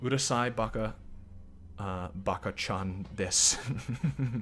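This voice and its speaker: Putting on a strained character voice, a man talks at a very slow pace in a medium pitch. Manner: mocking.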